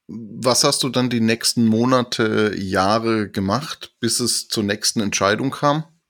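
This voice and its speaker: Speaking at a very slow pace with hardly any pauses, a man uses a medium pitch. The recording is very clean with a silent background and a dry, close sound with no echo. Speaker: podcast host. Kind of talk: interview.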